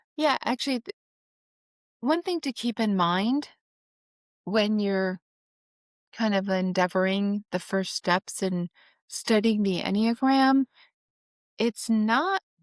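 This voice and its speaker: At a very slow pace, a woman speaks at medium pitch with ordinary pitch variation and long, frequent pauses. The recording is very clean, with a silent background. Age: 60s. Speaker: financial planner and Enneagram student. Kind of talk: casual interview conversation. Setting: podcast interview. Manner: many filler words, conversational.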